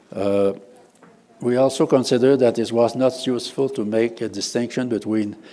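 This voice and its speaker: In a French accent, a man of medium pitch and dark, mellow tone talks at a fairly slow pace with fairly even intonation. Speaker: university professor and researcher. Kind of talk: conference presentation. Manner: halting, many fillers.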